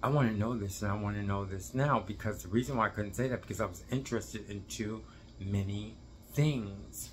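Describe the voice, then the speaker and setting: Fairly low in pitch, a man speaks with lively intonation. His voice is somewhat breathy and his pace fairly quick. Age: 60s. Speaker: dance teacher, video blogger. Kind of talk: casual monologue to camera. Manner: halting, rambling with self-corrections.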